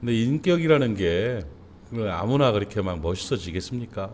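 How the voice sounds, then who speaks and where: Fairly low in pitch, a man talks at a moderate pace with very wide pitch swings. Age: 60s. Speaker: pastor. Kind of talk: sermon. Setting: church. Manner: conversational, with fillers.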